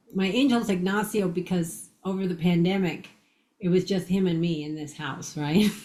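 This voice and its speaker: Her voice is somewhat breathy, and this woman speaks at a fairly low pitch. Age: 60s. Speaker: near-death experiencer and author. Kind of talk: interview storytelling.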